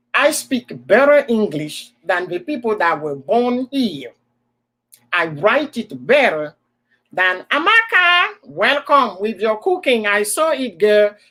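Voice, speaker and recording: Speaking at a very slow pace with an African accent, a woman uses a fairly high, bright, sharp voice whose pitch swings very widely. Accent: African accent, kept. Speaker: livestream host. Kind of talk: casual chat. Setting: live stream in front of a computer. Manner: animated.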